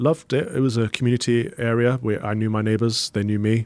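With an East Midlands accent, a man talks at a fairly quick pace in a medium-pitched voice. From England, Mansfield, Nottinghamshire. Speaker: Anglican priest. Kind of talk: interview conversation.

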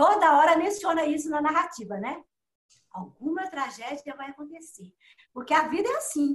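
A woman with a Minas Gerais accent speaks at a high pitch. Her intonation is lively and her pace moderate. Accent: mineiro. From Minas Gerais, Belo Horizonte. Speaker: writer. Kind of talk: interview.

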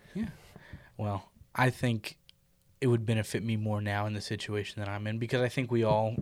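This is an ordinary speaking voice at a fairly quick pace. The intonation stays fairly even. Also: man. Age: 20s. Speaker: podcast host. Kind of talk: casual chat.

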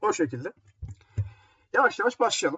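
A man is speaking. His pitch swings very widely. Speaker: radio host. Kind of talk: music radio show presenting. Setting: home. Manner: casual, halting with fillers. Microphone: laptop built-in mic, echoey.

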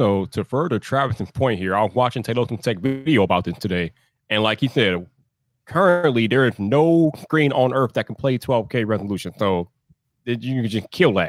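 A man with an ordinary speaking voice talks at a moderate pace, medium pitch and lively intonation. The sound is dry and close with no echo. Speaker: tech creator and live streamer. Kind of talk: casual chat. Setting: video call.

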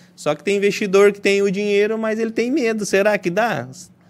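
A man with a high pitch on a very clean recording with a silent background. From western Paraná, Brazil. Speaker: real estate business owner. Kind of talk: podcast interview.

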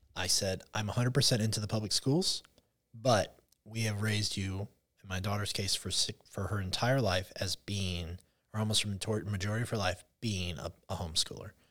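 A man with a normal speaking voice, fairly low in pitch, fairly quick and fairly even in intonation, on a very clean recording with a silent background. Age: 40s. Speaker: public school teacher. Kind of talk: casual chat.

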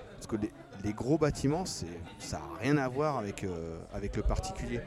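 A man's medium pitch with very wide pitch swings at a moderate pace, over noticeable background noise. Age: young. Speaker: plumber. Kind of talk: casual chat. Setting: trade show.

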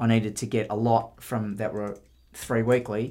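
In a very clean recording with a silent background, a man with an Australian accent talks at a medium pitch in a monotone, flat intonation. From southwest Victoria, Australia. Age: 50s. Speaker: mowing business owner. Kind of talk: interview. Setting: head office.

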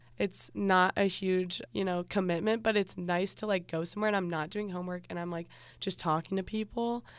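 In an American accent, a woman with an ordinary speaking voice and medium pitch talks at a fairly quick pace on a very clean recording with a silent background. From US Midwest, Cincinnati, Ohio. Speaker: student podcast host. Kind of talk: casual chat; scripted narration.

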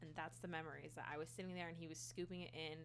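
Her voice carries audible echo from the room. The speaker is a woman. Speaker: solo podcaster. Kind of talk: personal storytelling monologue. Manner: casual, laughing.

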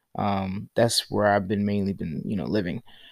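The recording is dry and close, without echo. It's a man talking. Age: 20s. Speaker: podcast host and college student. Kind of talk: casual monologue. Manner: halting.

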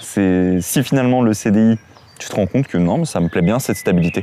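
With noticeable background noise, a man talks at a fairly quick pace using ordinary pitch variation. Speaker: YouTube interviewer. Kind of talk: casual interview.

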